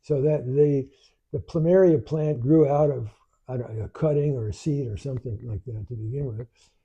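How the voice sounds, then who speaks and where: At a fairly quick pace, a man talks in a fairly high pitch with a somewhat breathy, dark, mellow tone and ordinary pitch variation. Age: 80s+. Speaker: spiritual teacher, grandfather. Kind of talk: live spiritual talk. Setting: live stream at home with in-person viewers. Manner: reflective, halting with repetitions.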